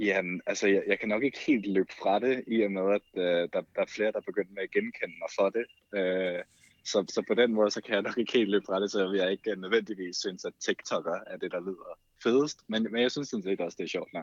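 Male voice, moderate pace, dry, close sound with no echo. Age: 20s. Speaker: TikTok creator and photographer. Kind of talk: casual chat.

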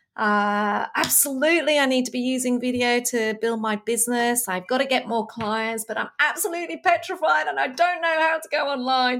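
A woman with an Australian accent, high-pitched, lively intonation, moderate pace, hardly any pauses. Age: 50s. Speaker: podcast host, leadership expert. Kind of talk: interview. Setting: video call.

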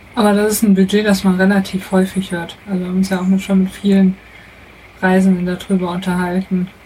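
With noticeable background noise behind her, a woman speaks at a fairly quick pace and medium pitch in a monotone, flat intonation. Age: 30s. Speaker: mechanical engineer, traveller. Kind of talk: casual interview. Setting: in a motorhome.

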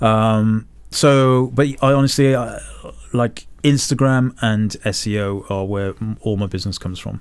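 An ordinary speaking voice from a man, medium in pitch, at a fairly slow pace with ordinary pitch variation. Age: 50s. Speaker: photographer and podcast host. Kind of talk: casual chat.

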